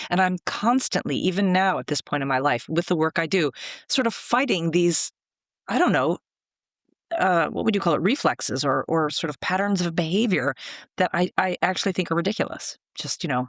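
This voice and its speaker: On a very clean recording with a silent background, a woman with a normal speaking voice talks at a fairly low pitch and fairly quick pace. Her intonation is lively, and the sound is dry and close with no echo. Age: 60s. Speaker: screenwriting mentor. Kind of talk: interview conversation.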